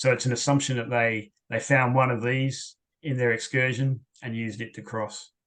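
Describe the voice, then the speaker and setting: In an Australian accent, a man speaks at a moderate pace and medium pitch with monotone, flat intonation. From Western Australia. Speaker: historian. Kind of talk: Q&A after lecture. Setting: video call.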